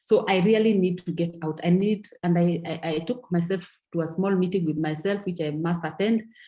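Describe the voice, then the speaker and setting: A woman speaks at a moderate pace with hardly any pauses, her voice somewhat breathy. Her tone is dark and mellow, fairly low in pitch, with fairly even intonation. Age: 60s. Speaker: network marketing distributor. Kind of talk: testimony. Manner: halting, with repeated words.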